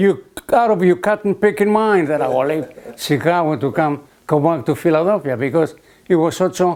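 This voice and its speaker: A man with a Greek accent speaks at a moderate pace in a high voice, with lively intonation and very even loudness. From Greece. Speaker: retired hotel catering director. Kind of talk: interview answer.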